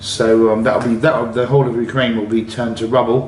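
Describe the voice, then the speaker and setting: A man with an English accent speaks in a monotone, flat way. Audible room echo and noticeable background noise fill the recording. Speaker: travel vlogger. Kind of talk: casual monologue. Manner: halting.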